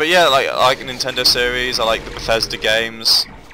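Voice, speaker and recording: A man with an English accent at a fairly quick pace, music in the background. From England. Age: 20s. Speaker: gaming YouTuber. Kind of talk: casual gameplay commentary. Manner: rambling, hesitant with fillers.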